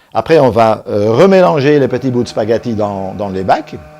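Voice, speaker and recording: Speaking at a moderate pace, a man has a Belgian accent. His pitch swings very widely, and background noise is noticeable. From Belgium. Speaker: soap maker, business owner. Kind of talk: company presentation. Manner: halting.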